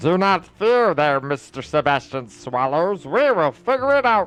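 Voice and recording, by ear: A man puts on a character voice with a fairly high pitch at a moderate pace. Faint music plays in the background.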